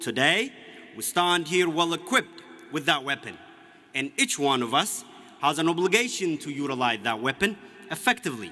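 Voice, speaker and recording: Over noticeable background noise, a man with a fairly high voice swings very widely in pitch at a moderate pace, with long, frequent pauses. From Ethiopia, Oromia. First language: Oromo. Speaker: graduating student speaker. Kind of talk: commencement speech. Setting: stage with audience. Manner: formal.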